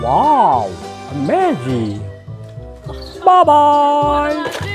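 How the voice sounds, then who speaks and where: Someone performs a put-on character voice with clear music in the background. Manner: heroic, exaggerated.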